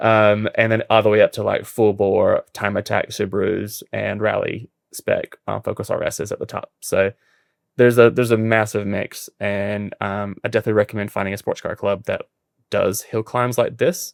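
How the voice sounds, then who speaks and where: The recording is very clean, with a silent background and a dry, close sound with no echo. A speaker with an American accent talks at a moderate pace. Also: man. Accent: noticeable accent, self-described as annoying. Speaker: podcast host, amateur racing driver. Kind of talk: casual chat.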